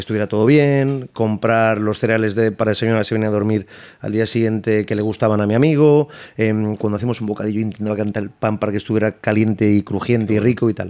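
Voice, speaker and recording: A man's dark, mellow voice at a very fast pace, fairly low in pitch with fairly even intonation, against a quiet background. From Madrid. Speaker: chef and restaurant owner; guest. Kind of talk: casual interview. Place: studio. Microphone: studio mic.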